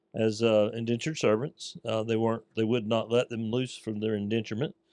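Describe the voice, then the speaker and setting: A man with a Southern US accent, medium pitch, a fairly quick pace and fairly even intonation, in a dry, close sound with no echo. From US South, north Florida (Putnam County). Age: 60s. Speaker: small business owner, carpet cleaner. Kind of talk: casual interview chat.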